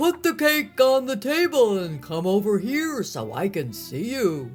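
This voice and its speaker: Putting on a character voice, a woman speaks at a fairly slow pace and medium pitch with very wide pitch swings while clear music plays in the background. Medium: read story. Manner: sly, wheedling.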